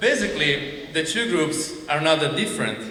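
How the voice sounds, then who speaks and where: A man speaks with a strong Italian accent and lively intonation. Noticeable background noise and audible room echo are present. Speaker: comedian. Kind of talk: stand-up.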